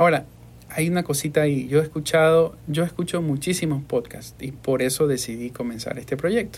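A man speaks with a coastal Ecuadorian accent, his fairly high voice somewhat breathy and showing ordinary pitch variation. The recording is very clean, with a silent background. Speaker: podcast host and voice-over artist. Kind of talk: casual interview. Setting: studio.

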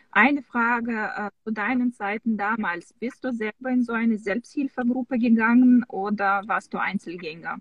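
A somewhat breathy woman's voice, fairly high-pitched, with a Russian accent and ordinary pitch variation, in a dry, close sound with no echo. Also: moderate pace, hardly any pauses. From Russia (Samara). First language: Russian (speaking German). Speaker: skin care specialist at a clinic, online show host. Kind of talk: casual online interview. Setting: in a car, video call.

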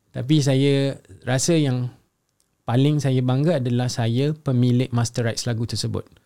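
A man's dark, mellow voice at a medium pitch, fairly slow in pace, with fairly even intonation. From Singapore. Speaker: singer-songwriter. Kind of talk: casual interview chat.

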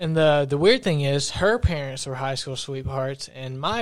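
A man with a normal speaking voice at a fairly high pitch, moderate pace, very clean recording and silent background. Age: 20s. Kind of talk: casual chat.

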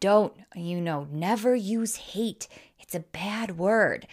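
On a very clean recording with a silent background, a woman with an American accent speaks at a very slow pace in a medium-pitched voice with lively intonation. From US Wisconsin. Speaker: podcast host and life coach. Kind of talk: solo podcast monologue. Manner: animated; casual.

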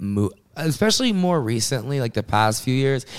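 A man with an American accent, fairly quick in pace, with very wide pitch swings. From US South (South Carolina). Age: 20s. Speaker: rapper. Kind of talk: casual interview.

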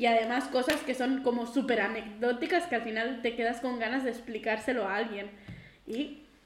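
Audible room echo surrounds a woman with a high-pitched voice. She keeps a moderate pace and ordinary pitch variation. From Catalonia, Girona. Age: 20s. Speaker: podcast co-host, school assistant. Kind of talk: casual chat.

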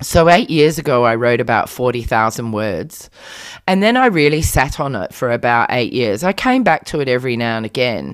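With an Australian accent, a woman speaks at a moderate pace in a very deep, low voice with lively intonation, on a very clean recording with a silent background. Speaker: author. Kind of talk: interview.

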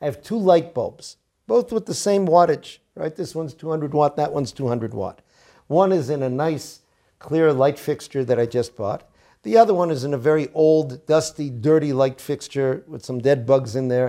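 A man with an American accent talks at a moderate pace, his pitch fairly high and his tone dark and mellow. The intonation is lively, and the recording is very clean with a silent background. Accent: American English with Yeshivish Hebrew terms. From US, Boston. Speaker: rabbi teaching Torah. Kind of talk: Torah lecture.

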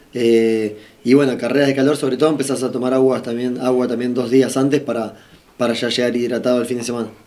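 Amid noticeable background noise and audible room echo, a man of medium pitch talks very fast in a monotone, flat intonation. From Argentina. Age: 30s. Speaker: racing driver. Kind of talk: interview.

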